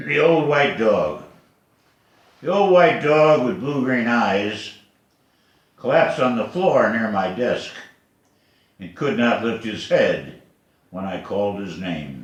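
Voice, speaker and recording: At a very slow pace and medium pitch, a man speaks with vocal fry, very wide pitch swings, big swings in loudness and long, frequent pauses, all in audible room echo. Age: 80s+. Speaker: poet. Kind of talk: poetry reading.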